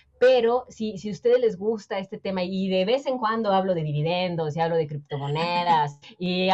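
A woman's medium-pitched, moderately paced delivery in an unremarkable speaking voice, with ordinary pitch variation. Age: 30s. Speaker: personal finance educator. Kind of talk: interview.

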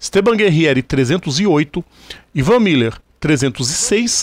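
This man talks at a very slow pace, his intonation lively. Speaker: motorsport podcast host. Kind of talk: casual chat; news reading.

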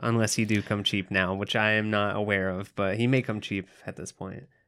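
A man's fairly low voice, bright and sharp in tone, on a very clean recording with a silent background. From Kentucky mountains. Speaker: horror movie podcast co-host. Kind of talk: casual chat.

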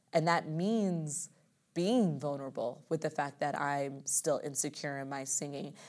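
On a very clean recording with a silent background, a woman with a very deep, low voice speaks at a fairly slow pace with ordinary pitch variation. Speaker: musical theater dancer and performer. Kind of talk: casual interview chat. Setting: recording room.

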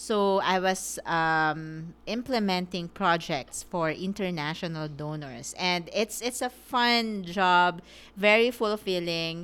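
On a very clean recording with a silent background, a woman speaks at a very slow pace with hardly any pauses and ordinary pitch variation. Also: medium pitch for a woman. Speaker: podcast co-host, lawyer and small business owner. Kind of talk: casual chat.

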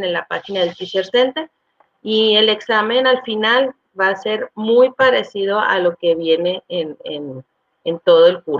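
A woman's medium-pitched voice moves very slowly, its pitch varying in an ordinary way. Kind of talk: testimony. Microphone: audio problems.

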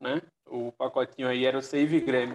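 A man speaks at a medium pitch. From Northeast Brazil. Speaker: football columnist. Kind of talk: casual chat.

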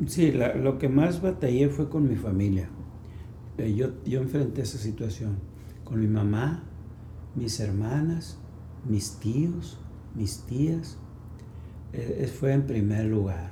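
A man speaks at a very slow pace with long, frequent pauses and lively intonation at medium pitch. His tone is dark and mellow, somewhat breathy, with audible room echo. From Mexico, Sonora (Ciudad Obregón). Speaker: pastor. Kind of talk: testimony. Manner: halting.

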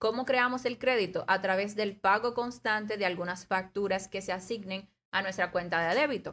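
An ordinary speaking voice. It moves at a moderate pace. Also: woman. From Dominican Republic, La Romana. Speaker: economist. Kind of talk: casual talk show interview. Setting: radio studio.

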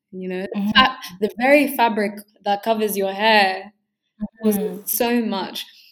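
Speaking with a London accent, a woman keeps a fairly slow pace and fairly even intonation, with long, frequent pauses. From northwest London. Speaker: university student. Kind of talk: casual chat.

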